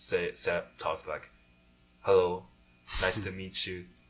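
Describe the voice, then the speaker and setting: Over background music, a man with a Japanese accent talks at a moderate pace. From Japanese community in China, then Japan at 15. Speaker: college student. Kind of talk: casual chat. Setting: college radio studio. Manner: halting.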